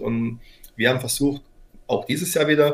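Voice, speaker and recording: A man is speaking. His voice is somewhat breathy. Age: 40s. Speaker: company founder and CEO. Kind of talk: interview. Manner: halting.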